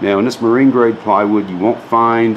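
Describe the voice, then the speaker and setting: A man talks with ordinary pitch variation over light background noise. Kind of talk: tutorial. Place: garage. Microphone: phone near.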